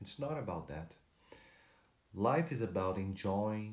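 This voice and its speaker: Audible room echo surrounds a man with a dark, mellow tone. He speaks at a fairly slow pace. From Brazil. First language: Portuguese. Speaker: motivational speaker. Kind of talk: motivational talk to camera. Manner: halting, with fillers and restarts.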